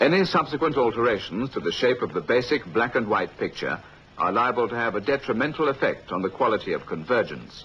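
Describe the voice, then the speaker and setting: A man of medium pitch speaks at a fairly quick pace with vocal fry. His intonation is lively. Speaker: narrator. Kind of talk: technical training film narration.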